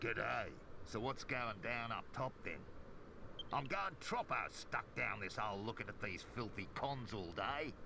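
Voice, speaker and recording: A man does a gruff, put-on character voice in an Australian accent at medium pitch and a moderate pace over loud background noise. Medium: video game. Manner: gruff, slangy.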